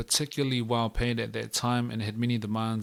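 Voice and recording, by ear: Someone reads aloud in a natural voice.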